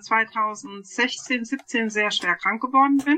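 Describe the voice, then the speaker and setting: A woman talks at a very slow pace. Her pitch sits fairly high. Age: 40s. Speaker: podcast co-host, spiritual life coach. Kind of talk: casual chat.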